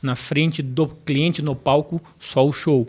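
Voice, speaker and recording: At a fairly slow pace, a man with a fairly high, somewhat breathy voice keeps his intonation fairly even. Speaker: professor and motivational speaker. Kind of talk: podcast interview. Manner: storytelling.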